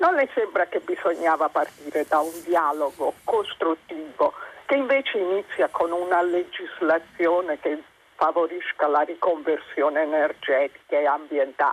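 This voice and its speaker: A woman speaks at a fairly slow pace. Noticeable background noise runs under her voice. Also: ordinary pitch variation, very even loudness, dry, close sound with no echo. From Campania, Caserta province. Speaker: caller. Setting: phone call.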